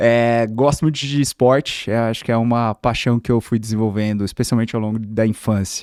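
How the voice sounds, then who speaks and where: On a very clean recording with a silent background, a man with an interior São Paulo accent talks at a medium pitch and a moderate pace, the sound dry and close with no echo. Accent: Bauru interior São Paulo accent, noticeable R. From Brazil, Bauru (interior of São Paulo state). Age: 30s. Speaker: corporate executive (chief of staff). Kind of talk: podcast interview. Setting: studio.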